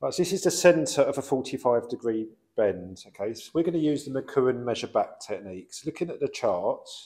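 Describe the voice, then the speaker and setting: A man talks at a moderate pace in a dark, mellow tone. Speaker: plumbing instructor. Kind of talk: tutorial. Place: workshop.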